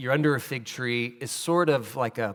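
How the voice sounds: Natural reading voice, pitch shifting in an ordinary way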